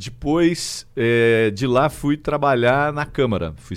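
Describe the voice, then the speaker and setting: This very clean recording, set against a silent background, captures a man talking. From interior of São Paulo state (Araraquara). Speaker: state legislator and history teacher. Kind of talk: casual political interview.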